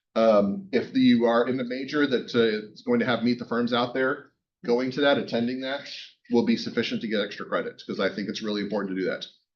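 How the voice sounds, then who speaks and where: A man at medium pitch with ordinary pitch variation and a fairly quick pace. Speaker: university professor. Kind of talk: lecture. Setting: classroom. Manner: fast; casual, joking.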